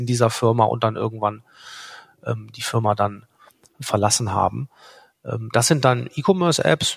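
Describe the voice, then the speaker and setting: At a moderate pace, a man speaks with medium pitch and a somewhat breathy sound. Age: 40s. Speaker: startup founder and product owner. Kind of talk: podcast interview.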